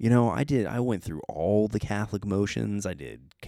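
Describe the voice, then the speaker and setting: Recorded very cleanly with a silent background, a man with a fairly low pitch and a dark, mellow tone speaks at a moderate pace. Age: 30s. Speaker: podcast host. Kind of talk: casual monologue. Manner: rambling, self-interrupting.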